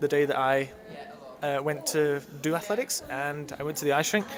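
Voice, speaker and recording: The speaker has a slight British accent. The pace is moderate and the pitch varies in an ordinary way. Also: man. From UK. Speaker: ice dancer. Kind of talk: interview.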